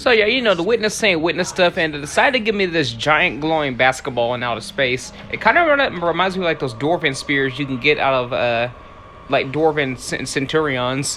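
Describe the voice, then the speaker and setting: A man's fairly high voice at a fairly quick pace, with lively intonation over noticeable background noise. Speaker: gaming YouTuber. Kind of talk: voiceover narration of gameplay. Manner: fast, words tumbling out when excited.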